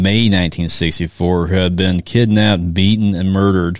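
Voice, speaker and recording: In an American accent, a man speaks at a fairly quick pace with a fairly low pitch and ordinary pitch variation. It is an ordinary speaking voice, on a very clean recording with a silent background. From US South small town. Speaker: podcast co-host. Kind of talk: casual chat with reading from notes.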